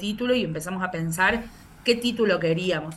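A woman at a medium pitch talks at a fairly quick pace with ordinary pitch variation, and some room echo can be heard. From Argentina, Córdoba. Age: 30s. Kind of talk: interview. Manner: hesitant, frequent repetitions.

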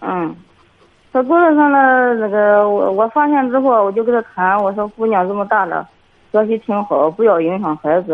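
Her voice is a plain, everyday voice: a woman at a medium pitch, moving at a moderate pace with lively intonation. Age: 50s. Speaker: kindergarten teacher, caller. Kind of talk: call-in advice conversation. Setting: phone call.

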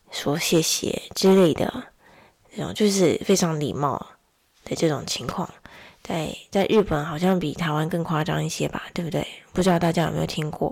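The speaker has an ordinary speaking voice, using ordinary pitch variation at a moderate pace. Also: woman, fairly low pitch for a woman. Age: 20s. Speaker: podcaster, mother of two. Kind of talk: casual solo monologue. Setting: home recording late at night.

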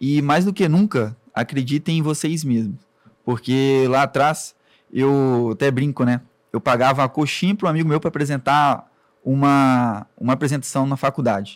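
With an ordinary speaking voice, a man talks at a moderate pace in a fairly high pitch, his pitch variation ordinary and his loudness very even. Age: 20s. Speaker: web agency owner. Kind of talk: interview.

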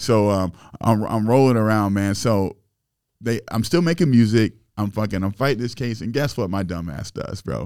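With an American accent, a man with an ordinary speaking voice talks at a moderate pace in a fairly low pitch and ordinary pitch variation, on a very clean recording with a silent background. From Springfield, Illinois. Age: 30s. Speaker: rapper and entrepreneur. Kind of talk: casual chat.

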